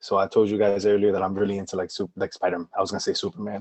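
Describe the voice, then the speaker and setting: A man's fairly low voice with a New Jersey accent. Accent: New Jersey American English. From New Jersey, Paterson. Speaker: educator and artist, podcast guest. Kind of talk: casual chat. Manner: halting, many fillers.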